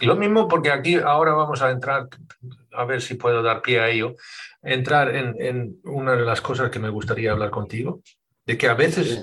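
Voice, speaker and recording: Moderately paced, a man with medium pitch and ordinary pitch variation has an unremarkable speaking voice. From Sweden. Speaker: podcast host and dog trainer. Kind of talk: interview conversation.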